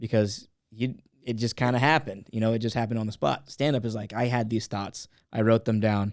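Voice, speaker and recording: Speaking in an ordinary speaking voice with an American accent, a man keeps a medium pitch and fairly even intonation at a fairly quick pace. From California, Los Angeles County. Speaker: comedian. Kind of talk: casual chat.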